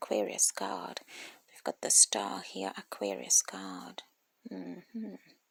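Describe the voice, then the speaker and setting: Someone whispers at a very slow pace. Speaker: tarot reader. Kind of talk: tarot reading. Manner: hesitant with repetitions; whispering.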